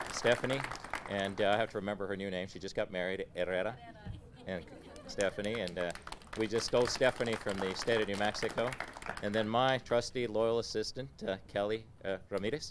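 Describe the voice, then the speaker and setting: A man speaks at a fairly quick pace in a fairly low pitch, with fairly even intonation. Noticeable background noise sits behind him. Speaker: federal housing official. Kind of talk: ceremony speech. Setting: outdoor ribbon cutting, no microphone. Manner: halting with fillers.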